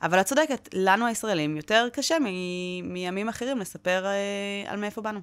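At a moderate pace, a woman talks in an animated tone. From Israel, Wadi Ara; Israel. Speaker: public diplomacy trainer at a nonprofit. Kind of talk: interview. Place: studio. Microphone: studio mic.

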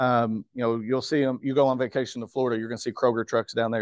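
The voice is flat and monotone, recorded dry with no echo over a quiet background. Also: man. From Kentucky. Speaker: grocery store manager; guest. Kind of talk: guest talk at club meeting. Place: meeting room.

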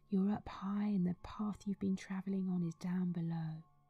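A woman speaks at a medium pitch in a somewhat breathy voice with a dark, mellow tone. Her intonation is monotone and flat, and the sound is dry and close with no echo. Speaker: meditation guide. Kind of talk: guided meditation. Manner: slow, soft-spoken.

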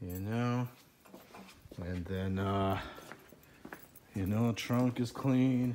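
The speech is very slow, with long, frequent pauses. Background noise is noticeable. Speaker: car owner showing his car. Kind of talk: casual video tour. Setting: garage. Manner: casual, profane.

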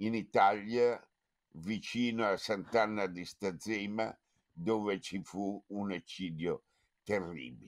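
The man talks very slowly, with ordinary pitch variation, and the background stays quiet. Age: 80s+. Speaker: foundation president; event host giving introductory remarks. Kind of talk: speech. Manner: halting. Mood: grave, reflective. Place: home room. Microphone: webcam.

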